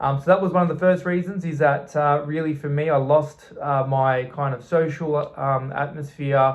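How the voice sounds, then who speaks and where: Somewhat breathy man with an Australian accent, fairly high pitch, moderate pace. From southeastern Australia. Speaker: expat vlogger. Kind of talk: personal vlog talk. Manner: halting, many fillers.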